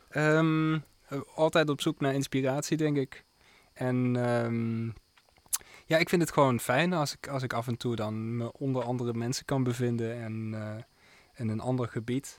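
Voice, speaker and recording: Fairly even intonation, a moderate pace and medium pitch in a man's a plain, everyday voice. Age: 20s. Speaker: jazz pianist and composer. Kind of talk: radio interview. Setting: radio studio.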